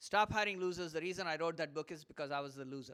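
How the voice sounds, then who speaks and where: In an Indian accent, a man talks at a very fast pace with a high pitch, a bright, sharp tone and an animated tone. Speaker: motivational speaker. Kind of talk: live talk to audience.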